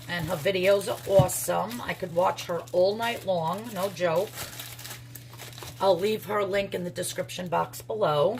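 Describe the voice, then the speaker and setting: Someone with a New York accent speaks at a fairly slow pace with lively intonation over noticeable background noise. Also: woman, fairly low pitch for a woman. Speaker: crafter and soap maker vlogger. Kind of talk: casual vlog.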